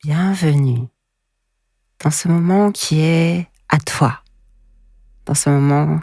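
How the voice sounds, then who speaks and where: A woman talks with a very deep, low pitch. Her voice is somewhat breathy. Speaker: hypnotherapist. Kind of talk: sleep hypnosis. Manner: slow.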